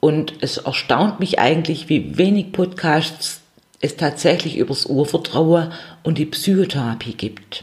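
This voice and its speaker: A somewhat breathy woman's voice, very deep and low in pitch, at a fairly slow pace. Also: ordinary pitch variation. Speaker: psychotherapy practitioner and podcast host. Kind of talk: solo podcast monologue.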